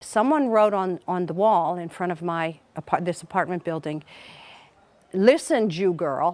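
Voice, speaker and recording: A woman with an American accent and an unremarkable speaking voice speaks fairly slowly at a fairly low pitch with ordinary pitch variation, on a very clean recording with a silent background. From USA. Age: 60s. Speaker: rabbi. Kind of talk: documentary interview.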